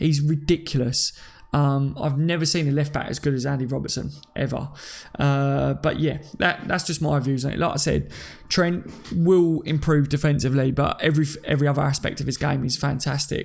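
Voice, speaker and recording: A man's fairly high, somewhat breathy voice in a Cockney accent, at a fairly quick pace with monotone, flat intonation. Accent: Cockney, London English. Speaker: livestreamer reading chat. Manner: casual, chatty, self-deprecating.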